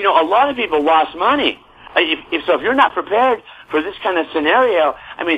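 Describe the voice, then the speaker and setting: A man's high voice with an American accent, at a very fast pace, in an animated tone with very wide pitch swings, over noticeable background noise. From US. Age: 70s. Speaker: real estate newsletter publisher. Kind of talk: interview. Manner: halting.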